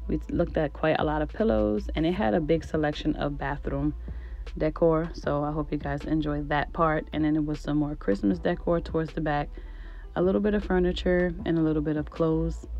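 Music in the background behind a woman's fairly quick delivery. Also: dry sound with no echo. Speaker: shopping vlogger. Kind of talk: casual vlog voiceover.

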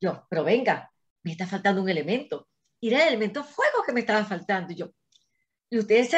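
A woman talks at a very fast pace with lively intonation and a fairly high, somewhat breathy voice. The background is quiet. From Venezuela, Caracas. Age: 60s. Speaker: engineer and astrologer; interview guest. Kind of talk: interview. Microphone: video call.

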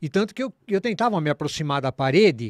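A man speaks at a moderate pace with very wide pitch swings. The recording is very clean, with a silent background and a dry, close sound with no echo. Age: 60s. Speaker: new age musician. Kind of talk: casual chat.

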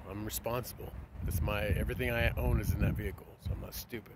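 Loud background noise surrounds a man who talks very fast. The sound is dry, with no echo. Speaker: traveler vlogger. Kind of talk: casual vlog chat. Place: open country. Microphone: phone near.

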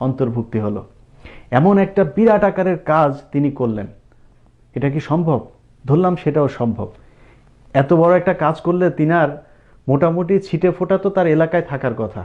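A man with a fairly high pitch uses lively intonation in an ordinary speaking voice. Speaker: political commentator, former TV journalist. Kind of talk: political commentary monologue.

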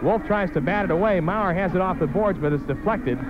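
A man talks fairly quickly in a high pitch with ordinary variation. The sound is dry with no echo, though background noise is noticeable. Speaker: play-by-play announcer. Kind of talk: sports commentary. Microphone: old recording.

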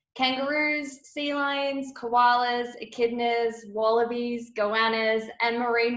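A high-pitched woman's voice in an Australian accent with fairly even intonation. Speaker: travel designer. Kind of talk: webinar presentation. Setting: video call.

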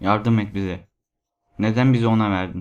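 Against a quiet background, a man with a fairly low voice takes a dramatic tone at a moderate pace, though his intonation stays monotone and flat. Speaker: voice actor narrating creepypasta. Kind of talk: ghost story telling, first-person horror narration. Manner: hushed, suspenseful, dramatic.

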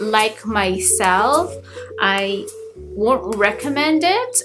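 A woman's voice over faint background music. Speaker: beauty vlogger. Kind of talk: casual vlog chat. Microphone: webcam.

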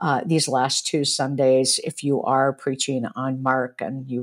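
A woman speaks at a very slow pace in a very deep, low pitch, with a quiet background. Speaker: professor, podcast co-host. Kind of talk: discussion commentary. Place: home room. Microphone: earbuds.

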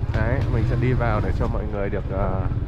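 Loud background noise is present throughout. Over it, a man talks. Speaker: travel vlogger. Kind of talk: casual vlog chat. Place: street. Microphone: phone near.

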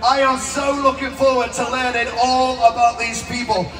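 A man speaks at a moderate pace in an extremely high pitch with monotone, flat intonation, faint music in the background. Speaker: event host. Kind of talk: stage announcement to crowd. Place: stage.

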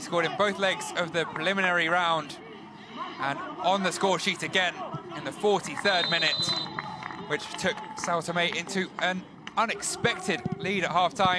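Over noticeable background noise, a man uses a raised, projected voice at a high pitch, with fairly even intonation and long, frequent pauses. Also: moderate pace. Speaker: football commentator. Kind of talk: football match highlights commentary. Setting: voiceover over match highlights.

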